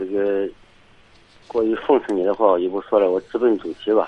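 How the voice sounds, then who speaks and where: An ordinary speaking voice, a man talks at a moderate pace with fairly even intonation. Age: 50s. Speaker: caller. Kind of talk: phone-in chat. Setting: phone call.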